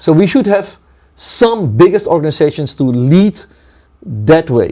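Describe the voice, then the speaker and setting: This man talks fairly slowly in a high voice with a dark, mellow tone, his pitch swinging very widely. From Suriname, then Netherlands. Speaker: community leader. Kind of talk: interview conversation. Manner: halting, with fillers.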